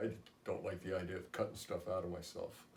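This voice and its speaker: A somewhat breathy man with a fairly low pitch at a very fast pace, with audible room echo. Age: 60s. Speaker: patient. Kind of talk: testimony. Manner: halting.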